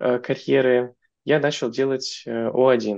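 A man is speaking. The background is quiet. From Russia, Moscow; Russia. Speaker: software engineer; podcast guest. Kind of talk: interview conversation. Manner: hesitant, many filler sounds. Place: home room. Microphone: video call.

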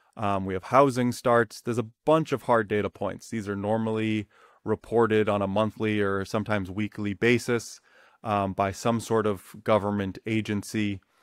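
In a plain, everyday voice, a man with a fairly low pitch speaks at a moderate pace with fairly even intonation, the sound dry with no echo against a quiet background. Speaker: economics educator. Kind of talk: tutorial. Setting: studio recording with slides. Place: home room. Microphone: webcam.

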